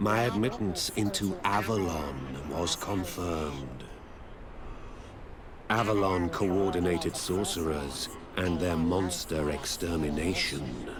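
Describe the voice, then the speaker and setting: A man performs a put-on character voice with a theatrical tone and a very deep, low pitch. He goes at a fairly slow pace with long, frequent pauses, over loud background noise. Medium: video game. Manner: theatrical, knowing.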